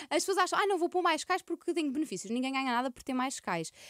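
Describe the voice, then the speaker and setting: A woman speaks very fast in a European Portuguese accent, her pitch swinging very widely. The sound is dry and close with no echo, on a very clean recording with a silent background. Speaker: personal finance adviser. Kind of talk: podcast interview.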